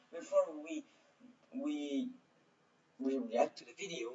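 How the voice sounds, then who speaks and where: A man talks at a moderate pace. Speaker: historian reacting to videos. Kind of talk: reaction video commentary. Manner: halting.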